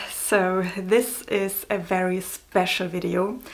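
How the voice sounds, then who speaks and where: A woman speaks with a German accent. Her pitch sits in the middle range. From Germany. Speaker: novelist and book vlogger. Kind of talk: casual vlog. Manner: hesitant, many fillers.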